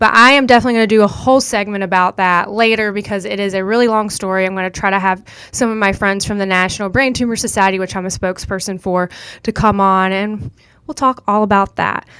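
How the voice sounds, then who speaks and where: A woman's bright, sharp voice with a Southern US accent at a very fast pace, on a very clean recording with a silent background. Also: medium pitch for a woman. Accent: Southern US country accent, noticeable. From US South, rural North Carolina. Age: 20s. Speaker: podcast host. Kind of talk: casual monologue. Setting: studio. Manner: animated.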